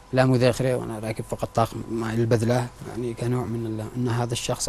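Noticeable background noise fills the clip. A man is the one talking. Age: 30s. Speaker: surgical nurse, victim of abuse. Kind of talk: testimony.

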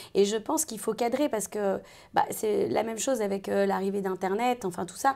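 Her dark, mellow voice moves at a fairly quick pace as the woman speaks. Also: medium pitch for a woman, ordinary pitch variation. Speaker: voice actor (dubbing). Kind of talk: interview chat. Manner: hesitant, many fillers.

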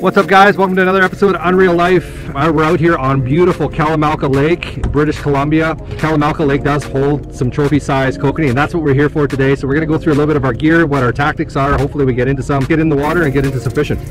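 Barely pausing, a man talks very fast with fairly even intonation and very even loudness. Faint music plays behind the dry sound, which has no echo. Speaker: fishing channel host. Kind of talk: tutorial. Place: boat. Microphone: phone near.

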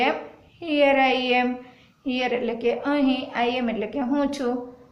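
Noticeable background noise and audible room echo accompany a woman speaking in a high pitch with fairly even intonation. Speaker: primary school English teacher. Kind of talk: lesson.

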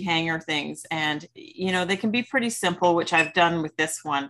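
A woman, keeping a moderate pace, speaks with ordinary pitch variation. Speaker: craft class host. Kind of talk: tutorial. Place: home room. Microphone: video call.

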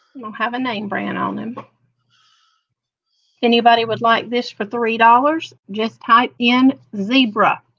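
A woman with vocal fry speaks at a fairly high pitch and a fairly slow pace, her tone fairly bright and her intonation fairly even.

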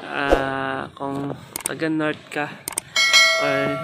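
Noticeable background noise sits under a man speaking at a fairly high pitch. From Negros Occidental, Philippines. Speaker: family food vlogger. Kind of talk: casual talk to camera. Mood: relaxed, calm morning. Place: beach. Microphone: phone near.

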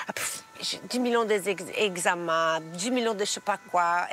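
With a Brazilian accent, a woman speaks at a very slow pace, the sound dry with no echo and light background noise. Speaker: TV fashion stylist, businesswoman. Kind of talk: casual interview answer. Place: garden. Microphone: lapel.

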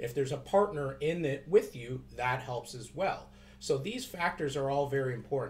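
A man with a Canadian accent speaks in a normal speaking voice at a moderate pace, his fairly high pitch rising and falling with ordinary variation. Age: 30s. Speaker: financial advisor vlogger. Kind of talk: casual video tutorial. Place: office. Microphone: webcam.

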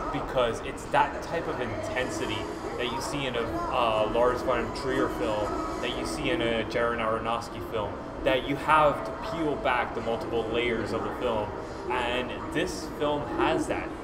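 A man talks at a fairly slow pace with ordinary pitch variation while clear music plays in the background. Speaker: film reviewer host. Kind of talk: conversational film review. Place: hall. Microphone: camera far.

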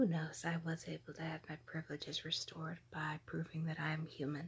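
A woman whispers at a fairly slow pace in a somewhat breathy voice. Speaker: vlogger. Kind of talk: ASMR narration. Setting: outdoors. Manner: whispered. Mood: amused, playful. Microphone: phone near.

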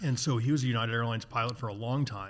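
A somewhat breathy man with an American accent. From US Midwest, Chicago suburbs; Illinois. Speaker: outdoor industry executive and sailor; podcast guest. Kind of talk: casual interview conversation. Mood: relaxed, reflective storytelling. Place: garage. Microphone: studio mic.

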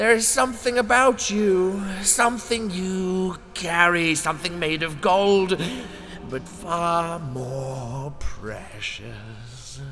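Over clear background noise, a man does a put-on character voice at a high pitch and a very slow pace. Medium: voice reel. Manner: slow, menacing.

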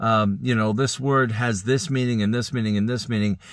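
The sound is dry with no echo, and the background is quiet. A man talks at a medium pitch with ordinary pitch variation. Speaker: Bible teacher. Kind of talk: Bible teaching. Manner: halting. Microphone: phone near.

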